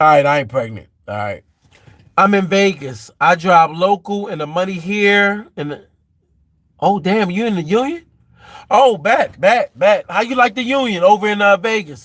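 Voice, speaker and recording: Lively in intonation, this man speaks with a high pitch. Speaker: livestreamer, truck driver. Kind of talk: casual live stream chat. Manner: fast.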